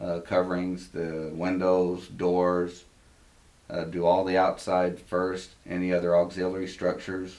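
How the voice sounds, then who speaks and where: A man with a slight Southern accent speaks at a fairly slow pace. His pitch is very deep and low, and the room echo is audible. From Texas, Amarillo. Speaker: home inspector. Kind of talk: interview. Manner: hesitant, many fillers.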